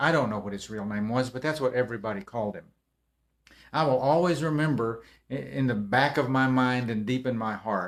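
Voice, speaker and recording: Here a man with a Texan accent talks at a fairly quick pace, his medium pitch showing ordinary variation. The recording is very clean, with a silent background. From Texas. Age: 60s. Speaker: motivational speaker. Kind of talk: casual livestream talk. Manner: halting.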